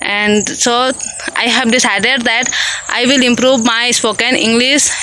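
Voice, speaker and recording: Against noticeable background noise and audible room echo, a woman with an Indian accent talks fairly slowly in a high, monotone voice at very even loudness. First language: Hindi. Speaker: English learner vlogger. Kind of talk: casual vlog. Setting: outdoors in a field. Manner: halting, repetitive fillers.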